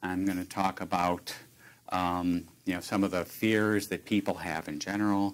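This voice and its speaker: A man with an American accent speaks in a very deep, low voice with monotone, flat intonation. The recording is very clean with a silent background. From Chicago, US Midwest. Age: 60s. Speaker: retired tech worker with early onset Alzheimer's. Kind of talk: talk to an audience about personal experience. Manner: halting, many fillers and restarts.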